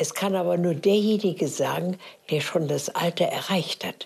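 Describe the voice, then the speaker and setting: Fairly slow and somewhat breathy, a woman's medium-pitched voice carries fairly even intonation. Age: 90s. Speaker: elderly interviewee. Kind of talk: interview.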